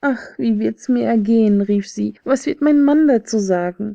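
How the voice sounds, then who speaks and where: A woman speaks at a moderate pace in a dark, mellow tone that is calm and soothing, with a dry, close sound and no echo. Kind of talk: fairy tale audiobook reading. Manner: calm, soothing.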